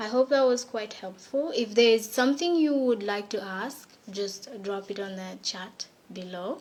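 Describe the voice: A woman speaks at a medium pitch with ordinary pitch variation. Her tone is slightly mellow. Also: fairly slow pace.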